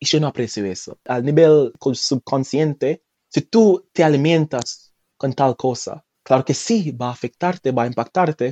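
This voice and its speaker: With a Jamaican accent, a man speaks fairly slowly in a dark, mellow tone, his pitch fairly high with ordinary pitch variation and a dry, close sound with no echo. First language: Jamaican Patois (speaking Spanish). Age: 20s. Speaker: language teacher. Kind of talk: casual interview. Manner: halting, many repetitions.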